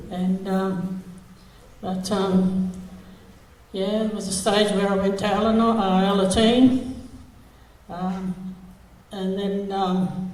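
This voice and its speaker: In an Australian accent, a woman with a medium pitch speaks very slowly and flatly in a monotone, taking long, frequent pauses amid audible room echo. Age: 70s. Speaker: recovering alcoholic sharing at AA meeting. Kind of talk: testimony. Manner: halting, many fillers.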